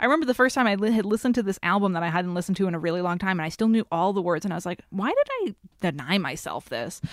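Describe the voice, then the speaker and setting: A woman talks at a very fast pace with hardly any pauses and lively intonation. Noticeable background noise runs underneath. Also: medium pitch for a woman. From Massachusetts (Haverhill), New England. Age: 30s. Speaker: writer and podcaster. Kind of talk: casual chat.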